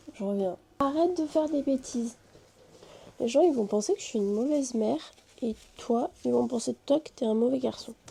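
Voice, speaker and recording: A woman with a high, dark, mellow voice talks at a fairly quick pace, broken by long, frequent pauses. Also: lively intonation. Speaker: vlogger. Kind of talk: casual vlog.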